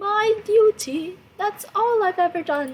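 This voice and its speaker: A woman's shaky, put-on character voice. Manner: agitated, bitter.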